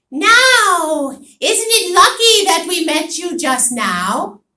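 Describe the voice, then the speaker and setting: In a put-on character voice, a woman projects loudly at an extremely high pitch and a very slow pace. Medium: read story. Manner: sly, mocking, knowing.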